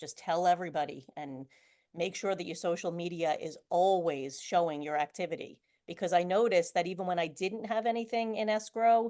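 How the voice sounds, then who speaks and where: A woman speaks with a New York accent. The background is quiet. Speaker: real estate agent. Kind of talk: interview. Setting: video call.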